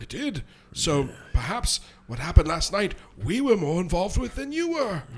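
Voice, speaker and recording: A man puts on a character voice, pitched high, swinging very widely up and down at a moderate pace with long, frequent pauses. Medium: actual play. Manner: flowery, smooth-talking.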